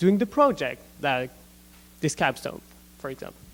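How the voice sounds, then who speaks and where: This is a man's voice. He speaks with a non-native accent. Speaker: gap year student. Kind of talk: student presentation. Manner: halting, many fillers.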